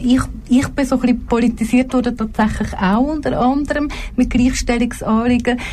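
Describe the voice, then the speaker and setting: Over noticeable background noise and audible room echo, a woman speaks at a fairly high pitch and a moderate pace. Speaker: politician. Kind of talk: talk show interview. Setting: radio studio.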